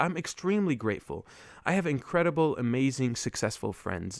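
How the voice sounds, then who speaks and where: A man with an Arabic accent at a moderate pace, with very wide pitch swings. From Lebanon, Beirut. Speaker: podcast host. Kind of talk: casual monologue. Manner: halting, many fillers.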